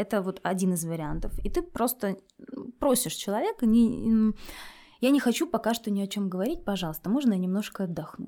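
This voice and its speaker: A woman speaks with lively intonation and a dark, mellow tone. The recording is very clean, with a silent background. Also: medium pitch for a woman. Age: 30s. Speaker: lawyer, podcast guest. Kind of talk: personal consultation and role-play.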